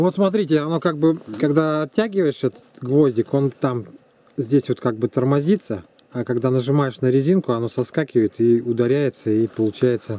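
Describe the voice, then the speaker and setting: A man at a moderate pace, with lively intonation and a dry sound with no echo. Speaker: demonstrator. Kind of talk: casual explanation. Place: open country. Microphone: phone near.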